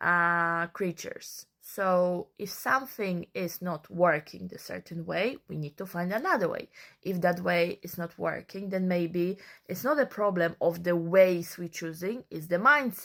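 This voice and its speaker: A speaker with a non-native accent talks at a fairly slow pace, with ordinary pitch variation and big swings in loudness. The recording is very clean, with a silent background. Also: woman, fairly low pitch for a woman. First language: not English. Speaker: social media creator. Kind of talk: casual monologue.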